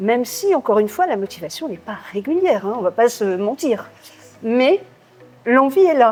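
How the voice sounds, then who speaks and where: With very wide pitch swings and long, frequent pauses, a woman speaks at a fairly high pitch over noticeable background noise. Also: moderate pace. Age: 60s. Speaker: gym member. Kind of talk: interview. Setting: gym.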